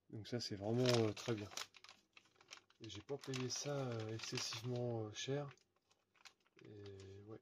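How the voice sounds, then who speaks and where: Somewhat breathy, a man talks at a very slow pace with long, frequent pauses. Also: medium pitch for a man, fairly even intonation, big swings in loudness. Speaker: RC hobby YouTuber. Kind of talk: unboxing video. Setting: at home at night. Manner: hesitant, many fillers.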